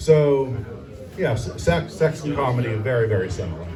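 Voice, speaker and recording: Background noise is noticeable as a man talks in a medium pitch. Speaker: stand-up comedian. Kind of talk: stand-up comedy set at open mic. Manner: hesitant, halting.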